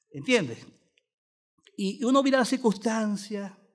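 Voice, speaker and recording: The background is quiet. A man with a high pitch speaks at a fairly slow pace. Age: 60s. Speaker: pastor. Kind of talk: sermon.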